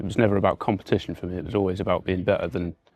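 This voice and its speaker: Speaking in an English Midlands accent, a man delivers his words at a very deep, low pitch with monotone, flat intonation. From England, Warwickshire. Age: 30s. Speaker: recovering addict. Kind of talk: testimony. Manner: halting, many fillers and repetitions.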